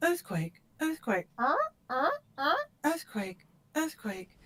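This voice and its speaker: A put-on character voice, female-sounding and high-pitched for a woman, at a fairly slow pace. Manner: funny, repetitive alarm-like.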